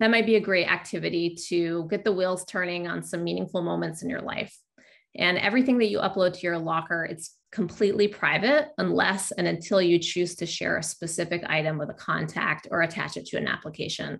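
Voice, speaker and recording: A woman's fairly low voice with vocal fry, quick-ish in pace, pitch varying ordinarily, against a quiet background. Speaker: webinar moderator. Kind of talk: educational webinar. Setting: video call. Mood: friendly, upbeat. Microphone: video call.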